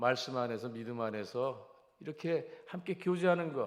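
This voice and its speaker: Audible room echo follows a man as he talks. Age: 70s. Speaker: pastor. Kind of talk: sermon. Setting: church.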